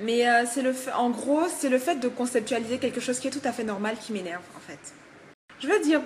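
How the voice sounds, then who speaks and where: The speaker moves at a moderate pace with ordinary pitch variation over noticeable background noise. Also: woman. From Togo. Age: 20s. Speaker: hair shop worker and student. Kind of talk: casual vlog. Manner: hesitant, many fillers.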